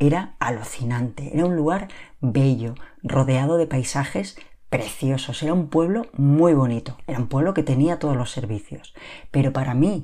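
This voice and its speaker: A woman with a very deep, low pitch and a dark, mellow tone talks at a moderate pace with ordinary pitch variation. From Spain, Barcelona periphery. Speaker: lifestyle podcaster. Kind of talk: solo podcast monologue.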